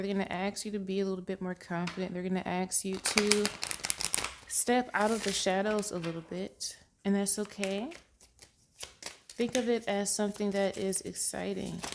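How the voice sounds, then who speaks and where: Noticeable background noise accompanies a woman of medium pitch who talks at a moderate pace with fairly even intonation. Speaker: tarot reader. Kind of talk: tarot reading.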